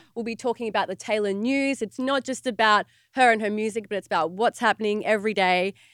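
Over a silent background on a very clean recording, a woman talks at a very fast pace in an Australian accent. Her pitch is fairly high, her intonation fairly even, and the sound dry and close with no echo. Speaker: podcast co-host. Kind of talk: casual chat.

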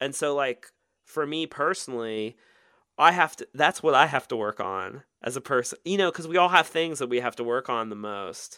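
A man with an American accent, bright and sharp in tone, lively in intonation, at a moderate pace, in a dry, close sound with no echo on a very clean recording with a silent background. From US Midwest, rural Ohio. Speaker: author and illustrator. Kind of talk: podcast interview. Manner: halting with repetitions.

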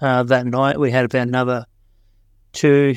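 A man with an Australian accent speaks at medium pitch and a moderate pace in a monotone, flat way against a quiet background. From Australia, Tasmania. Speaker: hiker sharing a story. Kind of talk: recorded story.

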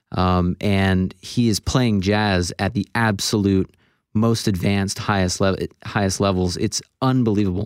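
A man with an American accent and a plain, everyday voice speaks at a fairly slow pace and fairly low pitch, with fairly even intonation and very even loudness on a very clean recording with a silent background. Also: dry, close sound with no echo. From Florida, US. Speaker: film composer and conductor. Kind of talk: radio interview. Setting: radio studio.

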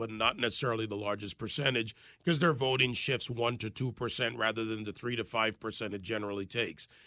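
The background is quiet as a man speaks at a moderate pace. His tone is bright and sharp. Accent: American. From Jamaica and United States. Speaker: radio host and political commentator. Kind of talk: interview.

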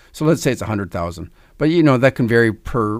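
In a very clean recording with a silent background, a man talks at a very fast pace, using vocal fry and very wide pitch swings. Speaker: financial advisor. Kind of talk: radio talk show. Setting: studio.

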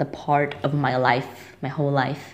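A woman with a non-native accent speaks at a very deep, low pitch in a flat monotone. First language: not English. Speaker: listener leaving a voicemail. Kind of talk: voicemail message. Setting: phone voicemail.

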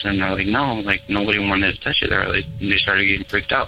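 At a fairly quick pace, the speaker uses an American accent and fairly even intonation over noticeable background noise. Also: man. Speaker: caller. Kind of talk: storytelling. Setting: phone call.

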